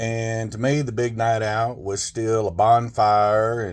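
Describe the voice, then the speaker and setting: A medium-pitched man with a Southern US accent is heard on a very clean recording with a silent background. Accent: country Southern. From Arkansas, US South. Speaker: storyteller. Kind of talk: personal storytelling.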